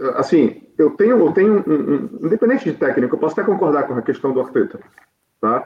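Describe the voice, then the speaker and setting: A man is speaking. He talks with a Brazilian accent. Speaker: football fan pundit. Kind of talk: casual football debate.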